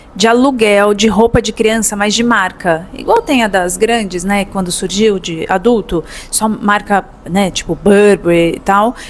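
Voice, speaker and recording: With a São Paulo accent, a woman of medium pitch talks at a moderate pace with ordinary pitch variation over noticeable background noise. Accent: São Paulo Brazilian Portuguese. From São Paulo, Brazil. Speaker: business consultant. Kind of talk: educational talk to camera. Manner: casual, conversational.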